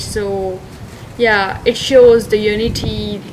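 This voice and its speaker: Heard over noticeable background noise, the speaker talks with a Sindhi accent and fairly even intonation. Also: woman. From Pakistan. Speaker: international student. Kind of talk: interview.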